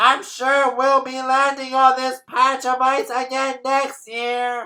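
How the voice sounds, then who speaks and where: Using a put-on character voice, a man speaks at a fairly slow pace in an extremely high pitch. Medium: read story.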